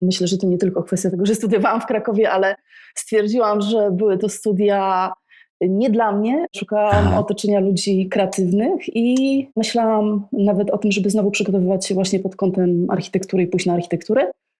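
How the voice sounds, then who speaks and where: Moving at a fairly quick pace, a woman speaks at medium pitch in a dark, mellow tone, with fairly even intonation and very even loudness. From Poland, Tricity (Gdańsk area). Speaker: neuroscience-in-architecture expert. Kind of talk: interview.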